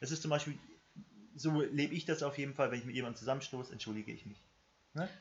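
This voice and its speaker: A man's fairly high, somewhat breathy voice at a very fast pace, broken by long, frequent pauses, with ordinary pitch variation. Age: about ten years older than co-host. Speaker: podcast co-host. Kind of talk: casual chat.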